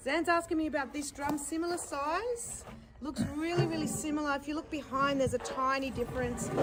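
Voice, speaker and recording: With noticeable background noise behind her, a woman with an Australian accent talks at a fairly quick pace in a high voice with ordinary pitch variation. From Australia (Sydney), born in Iran. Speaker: musician and performer. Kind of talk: interview. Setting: live stream.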